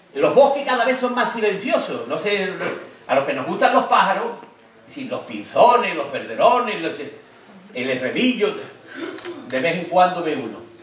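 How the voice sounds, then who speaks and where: Very wide pitch swings mark this moderately paced voice, heard with noticeable background noise and audible room echo. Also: man. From Andalusia, Spain (Cádiz countryside). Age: 70s. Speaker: book author. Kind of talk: book presentation talk. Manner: halting.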